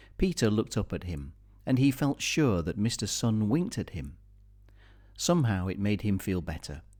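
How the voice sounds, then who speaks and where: Over a very clean recording with a silent background, a man with a British accent speaks at a moderate pace, his fairly low voice swinging very widely in pitch. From Britain. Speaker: audiobook reader. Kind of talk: children's story reading.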